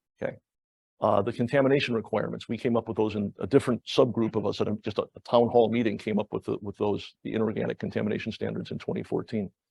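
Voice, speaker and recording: Talking at a very fast pace, a man uses a medium pitch with vocal fry and fairly even intonation. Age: 60s. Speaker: planetary geologist, professor. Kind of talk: public lecture. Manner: halting, many repetitions.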